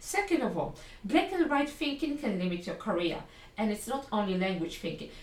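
With a Polish accent, a woman talks at a fairly high pitch and a fairly quick pace. Her pitch swings very widely over noticeable background noise. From Poland. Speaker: English language coach. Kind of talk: solo podcast lesson.

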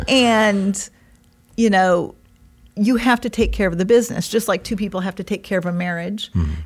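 A woman speaks at a moderate pace, somewhat breathy and with fairly even intonation, on a very clean recording with a silent background. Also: medium pitch for a woman. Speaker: podcast co-host. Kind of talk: casual chat. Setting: studio. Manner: laughs often.

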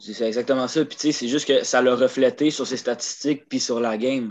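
Against a quiet background, a man talks at a medium pitch in a monotone, flat intonation. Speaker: hockey podcast co-host. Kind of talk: casual chat.

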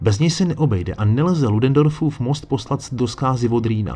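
The delivery moves at a fairly quick pace, somewhat breathy, with ordinary pitch variation. Its tone is dramatic and solemn. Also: man. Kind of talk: history documentary narration. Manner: dramatic, measured storytelling pace with a solemn tone; formal, chapter-by-chapter narration, occasionally conversational asides.

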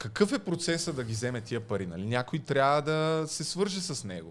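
At a fairly slow pace, a man talks. His pitch swings very widely. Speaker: podcast host. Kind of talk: casual chat.

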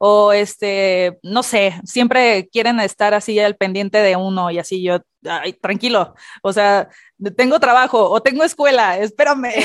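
Speaking at a fairly slow pace, a woman uses a medium pitch with ordinary pitch variation, in a dry, close sound with no echo. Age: 30s. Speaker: podcast co-host. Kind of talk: casual chat.

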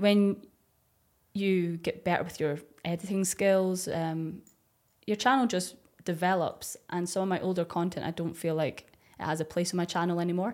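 A woman speaks with fairly low pitch and fairly even intonation, pausing long and often. The recording is very clean, with a silent background. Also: moderate pace. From Dundee, Scotland. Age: 30s. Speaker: ASMR YouTuber. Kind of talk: casual podcast interview.

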